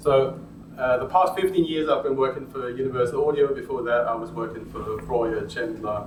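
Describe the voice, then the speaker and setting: Speaking at a moderate pace, a man with a German accent shows ordinary pitch variation. Noticeable background noise and audible room echo are present. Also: medium pitch for a man. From Germany. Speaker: audio industry presenter. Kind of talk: workshop presentation.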